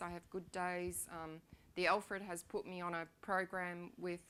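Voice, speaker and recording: In an Australian accent, a woman speaks at a medium pitch with a bright, sharp tone. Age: 60s. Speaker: patient sharing her illness story. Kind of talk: personal testimony talk. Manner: halting, many fillers.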